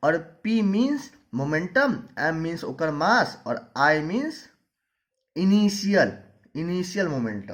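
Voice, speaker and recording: Speaking with a Maithili accent, a man with a high pitch uses very wide pitch swings and long, frequent pauses. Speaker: physics teacher. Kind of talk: lecture. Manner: informal explanatory.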